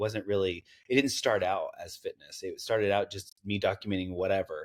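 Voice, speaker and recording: A fairly quick pace and a slight Southern US accent on a very clean recording with a silent background. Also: man. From US South, East Tennessee (Knoxville). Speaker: content creator. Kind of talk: interview. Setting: podcast interview. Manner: halting.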